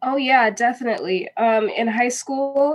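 A woman speaks with an American accent at a fairly slow pace. Hers is an unremarkable speaking voice with fairly even intonation. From Minnesota, US Midwest. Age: 20s. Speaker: actress, singer and dancer. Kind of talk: casual interview. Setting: studio.

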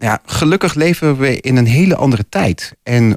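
Using a plain, everyday voice, a man talks at a fairly slow pace with lively intonation, in a dry, close sound with no echo. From Losser, Twente, Netherlands. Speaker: poet and piano teacher. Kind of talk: radio interview. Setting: studio.

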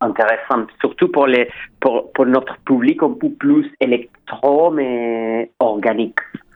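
A man talks with a Spanish accent. His pace is very slow. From Chile. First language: Spanish (speaking French). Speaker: record label co-founder. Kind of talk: radio interview. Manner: halting.

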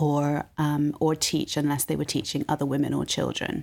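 A woman with a British accent in a very clean recording with a silent background. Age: 40s. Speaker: university provost. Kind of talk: interview.

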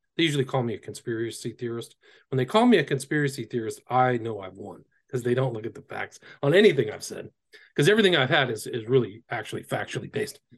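A man with an American accent, very fast and somewhat breathy, at medium pitch with lively intonation and big swings in loudness. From Northern California. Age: 50s. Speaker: author and occult researcher. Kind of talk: interview. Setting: video call.

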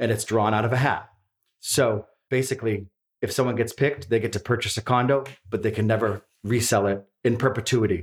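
A man with an American accent talks at a fairly quick pace in a medium pitch, somewhat breathy and with very even loudness. He takes long, frequent pauses, and the recording is very clean with a silent background. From East Boston, Massachusetts. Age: 40s. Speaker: real estate broker. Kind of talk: casual chat. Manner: animated.

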